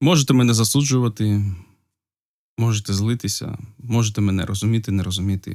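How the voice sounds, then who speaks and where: Over a silent background in a very clean recording, a man speaks at a moderate pace with a fairly low pitch and ordinary pitch variation. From Ukraine, Polissia region. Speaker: video blogger. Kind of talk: casual unscripted talk to camera. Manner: hesitant, with pauses.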